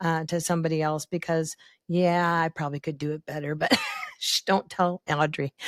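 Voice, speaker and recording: Fairly quick and fairly low-pitched, a woman speaks in a plain, everyday voice, recorded dry and close with no echo. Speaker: podcast host. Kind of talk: podcast interview, conversational. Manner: chatty, upbeat, humorous.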